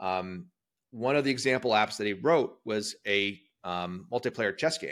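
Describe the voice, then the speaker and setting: A man talks at a moderate pace in a plain, everyday voice. His pitch is fairly low, with ordinary variation. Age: 40s. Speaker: tech company CEO and software developer. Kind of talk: casual chat.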